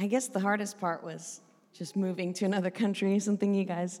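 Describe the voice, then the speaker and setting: A woman in a West Coast accent, at a moderate pace. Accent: American West Coast. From Oregon, US West Coast. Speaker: preacher, church leader. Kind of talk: interview, storytelling. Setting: church.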